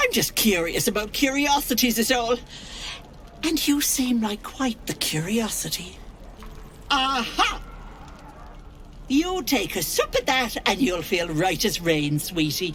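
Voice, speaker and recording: A put-on character voice, fairly high in pitch, moves at a fairly slow pace with long, frequent pauses over clear background noise. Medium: video game. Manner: chatty, cooing, full of endearments.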